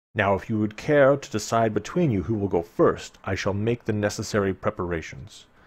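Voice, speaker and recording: A put-on character voice at a fairly quick pace with hardly any pauses, on a very clean recording with a silent background. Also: man, fairly low pitch for a man. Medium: read story. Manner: formal, stately, authoritative.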